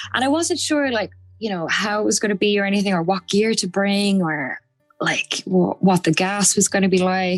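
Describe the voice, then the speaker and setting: Over music in the background, a woman at a medium pitch speaks with ordinary pitch variation in a dry, close sound with no echo. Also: moderate pace. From Ireland, Limerick. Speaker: photographer. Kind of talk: casual chat.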